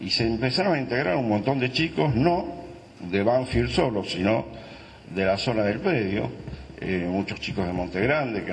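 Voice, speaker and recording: A man speaks at a moderate pace with a Buenos Aires accent, his pitch swinging very widely. Light background noise sits behind him. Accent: Argentine Spanish (Buenos Aires). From Argentina. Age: old. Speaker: former football club director. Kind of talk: panel testimony. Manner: halting. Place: meeting room. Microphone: handheld.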